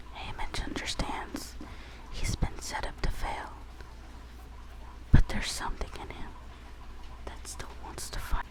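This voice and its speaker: Whispered speech goes at a fairly slow pace with long, frequent pauses and noticeable background noise. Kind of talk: reading book blurb aloud.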